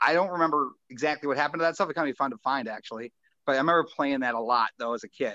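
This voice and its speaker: Over a quiet background, a man with an American accent talks at a very fast pace in a bright, sharp tone, fairly high in pitch with ordinary pitch variation, in a dry, close sound with no echo. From southern Minnesota. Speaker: radio DJ. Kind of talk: casual chat.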